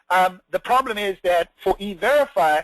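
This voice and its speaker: Recorded with a dry, close sound and no echo, a man speaks in a high pitch with ordinary pitch variation. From South Africa. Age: middle-aged. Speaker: immigration lawyer. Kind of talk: web seminar presentation. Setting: online webinar. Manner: hesitant with frequent fillers.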